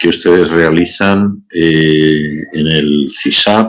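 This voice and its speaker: A man is speaking. His intonation is fairly even. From Spain. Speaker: bioethics professor. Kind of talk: lecture. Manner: many filler sounds.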